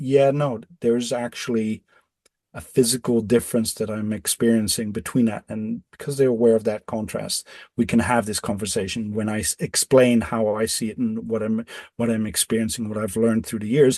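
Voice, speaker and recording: A man's medium-pitched voice with a dark, mellow tone, moderate pace and fairly even intonation, in a dry, close sound with no echo. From Netherlands. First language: Dutch. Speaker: electrosensitive off-grid designer. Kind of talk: podcast interview. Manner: halting, many repetitions.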